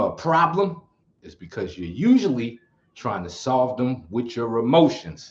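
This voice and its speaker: A man with a New York accent, medium pitch, an animated tone, very wide pitch swings, and a fairly slow pace. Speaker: martial arts teacher, livestream host. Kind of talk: casual livestream chat.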